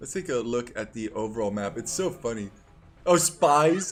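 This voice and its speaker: Music plays in the background as a man speaks at medium pitch. His pace is moderate and his tone is animated. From Netherlands. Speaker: video game caster. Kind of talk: live commentary. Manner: casual, animated.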